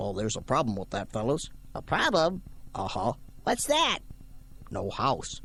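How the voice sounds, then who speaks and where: A man uses a cartoonish character voice at a medium pitch. He leaves long, frequent pauses over clear background noise. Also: moderate pace. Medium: puppet show. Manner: calm, easygoing.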